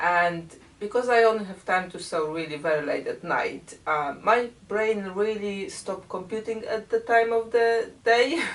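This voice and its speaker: In a Polish accent, the speaker goes at a fairly slow pace with hardly any pauses, lively intonation and big swings in loudness. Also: woman, fairly high pitch for a woman. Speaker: quilting YouTuber. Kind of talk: casual vlog and unboxing.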